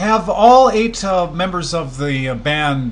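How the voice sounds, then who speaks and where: With very wide pitch swings, a man with a Canadian accent speaks at a fairly slow pace. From Canada. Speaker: radio host. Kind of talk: interview.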